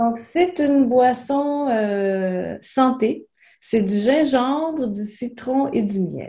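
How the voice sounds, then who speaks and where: A woman with a high pitch and a dark, mellow tone speaks at a very slow pace with ordinary pitch variation. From New Brunswick, Canada. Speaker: French teacher. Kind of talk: interview conversation. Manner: clear, simplified speech for learners.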